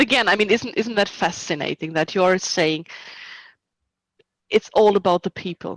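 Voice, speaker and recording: In a very clean recording with a silent background, a woman with a non-native accent talks at a moderate pace in a medium pitch, with ordinary pitch variation, long, frequent pauses and a dry, close sound with no echo. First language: not English. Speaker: historical reenactment society officer and event organizer. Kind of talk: interview.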